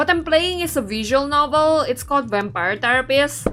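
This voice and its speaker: Music plays behind a woman's voice. Her pitch swings very widely. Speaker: VTuber game streamer. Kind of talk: casual livestream chat while playing a game. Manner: chatty, conversational with many fillers.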